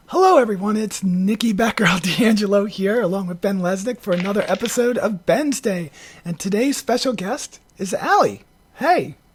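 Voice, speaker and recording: With noticeable background noise, a woman speaks at a moderate pace at a medium pitch, with ordinary pitch variation. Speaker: video podcast host. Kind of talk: casual chat. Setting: video call.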